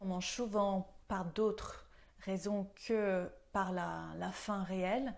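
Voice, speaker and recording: A woman talks with fairly even intonation in a very clean recording over a silent background. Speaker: nutrition coach and yoga teacher. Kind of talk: health tips video talk. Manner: hesitant, frequent fillers.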